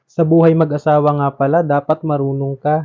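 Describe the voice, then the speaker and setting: A man speaks with a strong Visayan accent at a fairly high pitch. His intonation is monotone and flat. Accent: Visayan accent in Tagalog, strong. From Visayas, Philippines. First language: Cebuano (speaking Tagalog). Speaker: vlogger. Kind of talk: vlog narration.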